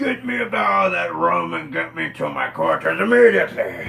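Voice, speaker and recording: Using a raspy, put-on character voice, a man talks at a fairly quick pace with a medium pitch. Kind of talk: pirate yarn. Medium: solo performance. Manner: gruff, yelling.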